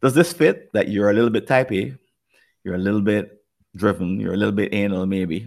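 In a Jamaican accent, a man speaks at a fairly low pitch and a fairly quick pace with lively intonation. The recording is very clean, with a silent background. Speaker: podcast host. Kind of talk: conversational problem-solving discussion.

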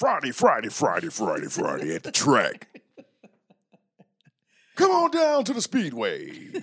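Using a put-on character voice at an extremely high pitch, a man speaks at a fairly slow pace with long, frequent pauses. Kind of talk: broadcast ad-read. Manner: upbeat, promotional.

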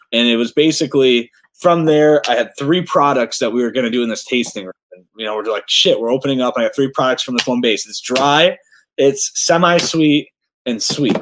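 A man with an American accent speaks in a plain, everyday voice at a fairly high pitch. His pace is moderate and his pitch variation ordinary. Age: 30s. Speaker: cider maker and apple farmer. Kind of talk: casual chat.

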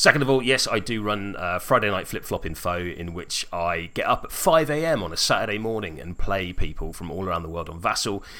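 Talking at a fairly quick pace with hardly any pauses, a man with a fairly low pitch uses lively intonation, and his loudness swings widely. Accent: British. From Wales. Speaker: tabletop gaming podcaster. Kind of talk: casual chat.

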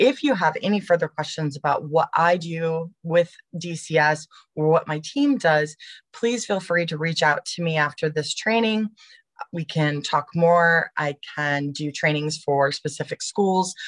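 A plain, everyday voice speaks at a fairly slow pace with ordinary pitch variation. The sound is dry and close with no echo. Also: woman, fairly low pitch for a woman. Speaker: education services director presenter. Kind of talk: webinar presentation with Q&A. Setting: online webinar.

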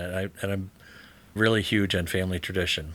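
A man with an American accent speaks at a fairly quick pace, his fairly low voice bright and sharp in tone, with fairly even intonation. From Michigan, Detroit area. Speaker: bank lender. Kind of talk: casual chat. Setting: in the local library.

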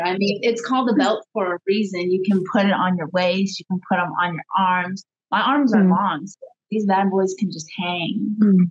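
In a dry, close recording with no echo, a woman with a normal speaking voice talks at a moderate pace and medium pitch, using ordinary pitch variation. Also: big swings in loudness. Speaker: professional wrestler. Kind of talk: casual chat. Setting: video call.

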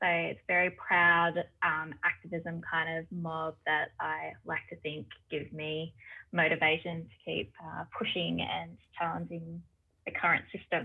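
A woman speaks at a fairly slow pace with a low pitch, a slightly husky edge and vocal fry. Her intonation is monotone and flat.

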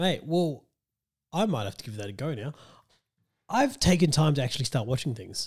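A man with an Australian accent speaks at a fairly quick pace, his pitch fairly high and swinging very widely. His loudness shifts a lot, his voice is somewhat breathy, and he takes long, frequent pauses. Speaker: podcast host. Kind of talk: casual chat. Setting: video call from home.

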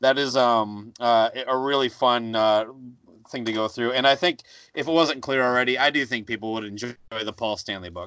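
A man at a medium pitch and moderate pace, bright, sharp tone, quiet background. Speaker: podcaster. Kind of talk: casual chat.

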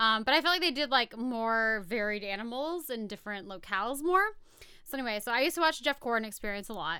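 A very fast, fairly high female voice with an American accent, lively intonation and a bright, sharp tone, on a very clean recording with a silent background. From rural US. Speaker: podcast co-host. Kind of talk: reading research notes; casual chat.

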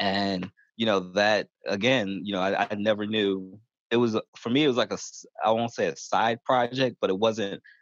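A man with a fairly low pitch speaks in an ordinary speaking voice at a moderate pace, with fairly even intonation and a dry, close sound with no echo against a quiet background. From Baltimore, US. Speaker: church minister doing homeless ministry. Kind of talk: interview.

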